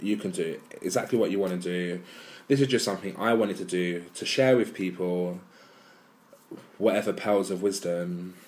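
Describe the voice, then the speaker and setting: This man has a fairly low pitch and an English accent. He keeps fairly even intonation at a moderate pace. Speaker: weight-loss vlogger. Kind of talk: vlog monologue. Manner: monotone; hesitant with many ums.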